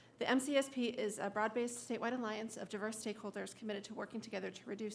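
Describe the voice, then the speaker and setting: Against noticeable background noise, a woman with a fairly high pitch speaks at a very fast pace with fairly even intonation. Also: big swings in loudness. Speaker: suicide prevention coalition director. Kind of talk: public testimony. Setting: public hearing.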